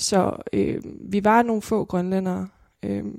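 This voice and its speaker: Very clean recording of a woman's voice against a silent background. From Greenland, Nuuk. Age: 20s. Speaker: filmmaker and student. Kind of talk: interview conversation.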